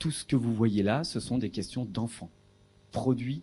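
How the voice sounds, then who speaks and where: A man speaks at a fairly slow pace in a somewhat breathy voice with ordinary pitch variation. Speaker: researcher in philosophy for children. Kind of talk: lecture. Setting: lecture hall with audience. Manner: hesitant, many fillers.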